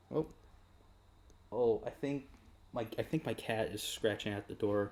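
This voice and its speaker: A man with an American accent speaks at a fairly slow pace in an unremarkable speaking voice. His pitch is medium, with ordinary pitch variation. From United States. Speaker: video game live streamer. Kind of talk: live stream casual chat.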